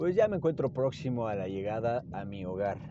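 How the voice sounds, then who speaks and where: Moderately paced, this man's speech has very wide pitch swings and vocal fry. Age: 20s. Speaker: podcaster and doctor. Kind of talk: casual monologue. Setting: in a car. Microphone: hands-free phone mic.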